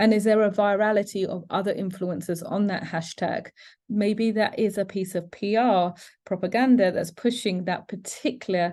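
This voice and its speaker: Quiet surroundings frame the voice. Its tone comes across dark and mellow. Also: woman. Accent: British. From United Kingdom. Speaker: educator presenting cyber safety webinar. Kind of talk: educational webinar.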